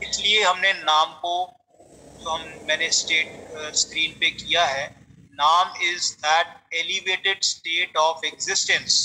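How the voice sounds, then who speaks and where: A high-pitched man's voice with monotone, flat intonation. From Punjab, India. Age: 50s. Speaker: meditation teacher. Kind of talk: spiritual lecture. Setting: talk with slides on screen.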